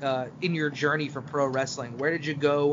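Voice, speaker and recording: Against noticeable background noise, a man with an American accent speaks at a moderate pace in a fairly high pitch. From New York City. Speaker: podcast host. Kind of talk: casual interview chat.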